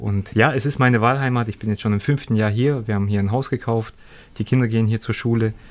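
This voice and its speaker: The recording is very clean, with a silent background. A man talks very fast at a medium pitch, his intonation fairly even. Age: 30s. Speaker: former professional footballer. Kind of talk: interview.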